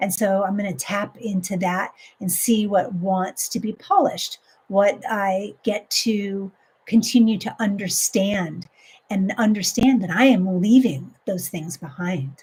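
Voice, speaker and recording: A woman with a plain, everyday voice talks fairly slowly, at a medium pitch and with ordinary pitch variation. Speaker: life coach. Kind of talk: live coaching stream. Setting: live stream.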